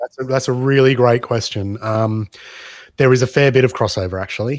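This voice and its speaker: A man speaks with an Australian accent and fairly even intonation. The sound is dry with no echo against a quiet background. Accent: Australian, unchanged. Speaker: pinball mod maker; podcast guest. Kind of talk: podcast interview. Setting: video call. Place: home room. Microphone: video call.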